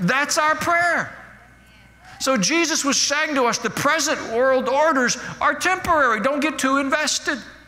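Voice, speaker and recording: This man with an American accent has an extremely high pitch and a raised, projected voice, speaking at a fairly slow pace with ordinary pitch variation. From United States. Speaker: pastor. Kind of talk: sermon. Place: church. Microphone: headset.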